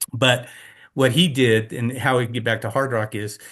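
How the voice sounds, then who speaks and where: A man speaks at a moderate pace and medium pitch against a quiet background. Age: 60s. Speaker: race director. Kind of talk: casual chat. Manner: halting, with many repeated words.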